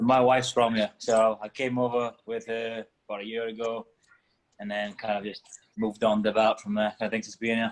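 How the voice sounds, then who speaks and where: A man speaks in a medium pitch at a fairly quick pace. His intonation is monotone and flat. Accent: Welsh. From Wales. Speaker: CrossFit athlete. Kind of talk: casual interview.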